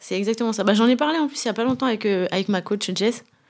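A woman with a normal speaking voice talks at a fairly quick pace with ordinary pitch variation. The recording is very clean, with a silent background. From France, Brittany (Brest). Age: 30s. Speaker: professional footballer. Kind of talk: casual interview. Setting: club headquarters.

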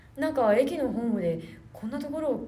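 A woman talks at a very fast pace. Audible room echo and noticeable background noise surround her. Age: 20s. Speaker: podcast host and theater troupe leader. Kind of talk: casual chat. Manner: animated.

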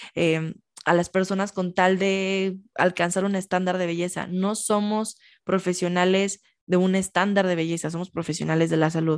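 Against a quiet background, a woman talks with monotone, flat intonation. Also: medium pitch for a woman, moderate pace. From Mexico, Michoacán. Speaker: nutritionist. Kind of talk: interview.

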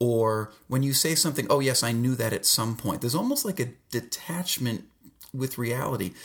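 On a very clean recording with a silent background, a somewhat breathy man speaks at a moderate pace with ordinary pitch variation. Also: medium pitch for a man. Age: 40s. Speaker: podcast host. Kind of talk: casual solo monologue. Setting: home basement. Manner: halting, many fillers.

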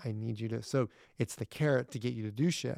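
On a very clean recording with a silent background, a man with an American accent speaks at a moderate pace in a medium pitch with ordinary pitch variation. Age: 30s. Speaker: entrepreneur and real estate investor. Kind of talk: casual interview.

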